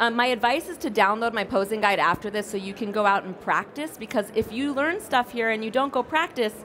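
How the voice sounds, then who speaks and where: With noticeable background noise, a woman talks at a fairly quick pace with hardly any pauses and ordinary pitch variation. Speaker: family photographer and educator. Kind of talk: conference talk. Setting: stage with audience. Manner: fast.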